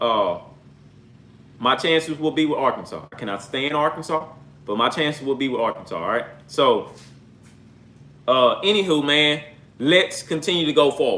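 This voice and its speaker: Someone with an American accent speaks at a moderate pace, leaving long, frequent pauses. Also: man. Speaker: sports podcaster. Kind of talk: casual solo sports podcast. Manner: animated, repetitive.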